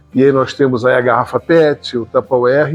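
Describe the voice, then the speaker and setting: A man is speaking. Music plays in the background. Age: 60s. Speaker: homeopathic doctor and goat farmer. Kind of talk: interview.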